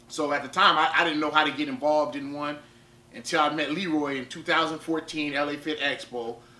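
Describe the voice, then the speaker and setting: Over noticeable background noise, the speaker talks at a fairly quick pace in a flat monotone. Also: man, fairly high pitch for a man. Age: 30s. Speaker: powerlifter and fitness vlogger. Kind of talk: vlog talk to camera. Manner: repetitive, halting with fillers.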